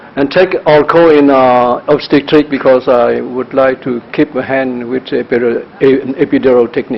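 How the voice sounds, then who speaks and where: Over noticeable background noise, a man at a medium pitch speaks at a moderate pace with monotone, flat intonation. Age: 60s. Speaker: anesthesiologist. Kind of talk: conference talk. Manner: halting, many fillers.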